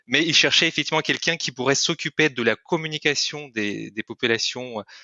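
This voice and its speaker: The speaker talks at a fairly quick pace with a slight Russian accent. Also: man, fairly high pitch for a man, ordinary pitch variation. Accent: slight Russian-speaking accent in French. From Kyrgyzstan. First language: Russian (speaking French). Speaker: corporate training manager. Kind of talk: podcast interview. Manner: hesitant, many fillers.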